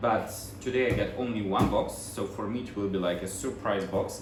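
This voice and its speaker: A man with a Russian accent at a moderate pace and fairly even intonation, with noticeable background noise and audible room echo. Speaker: vlogger, bag collector. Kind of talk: casual unboxing vlog. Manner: halting. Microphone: no microphone, built-in mic.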